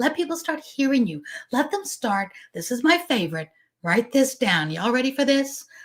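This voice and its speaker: A woman's somewhat breathy voice. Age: 50s. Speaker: business coach and show host. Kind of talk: live stream talk with viewer comments. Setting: live stream on social media. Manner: fast; energetic.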